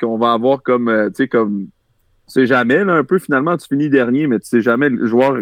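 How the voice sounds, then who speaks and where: Medium in pitch with ordinary variation, a man speaks at a moderate pace. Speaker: former football player and sports media analyst. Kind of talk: casual chat about football.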